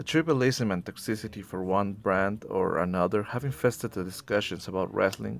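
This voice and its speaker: With music playing in the background, a man with a non-native accent speaks using lively intonation. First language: not English. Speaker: wrestling commentary YouTuber. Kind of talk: scripted video essay.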